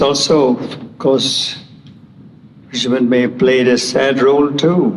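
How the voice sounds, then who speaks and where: Amid noticeable background noise and audible room echo, a man speaks at a very slow pace with a medium pitch and ordinary pitch variation. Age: 80s+. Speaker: award lecturer. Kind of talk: lecture.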